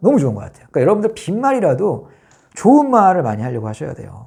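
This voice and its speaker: A man with a dark, mellow tone races along at a very fast pace, his pitch swinging very widely. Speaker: vlogger. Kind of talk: casual monologue.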